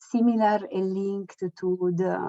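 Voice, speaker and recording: In a non-native accent, a woman speaks at a fairly slow pace with a dark, mellow tone, medium pitch and monotone, flat intonation, the sound dry and close with no echo. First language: Italian. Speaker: researcher. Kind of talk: online presentation. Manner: halting.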